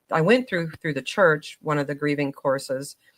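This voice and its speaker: The recording is very clean and the background silent. A woman speaks at a fairly quick pace. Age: 50s. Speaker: podcast guest, real estate investor. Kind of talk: interview conversation.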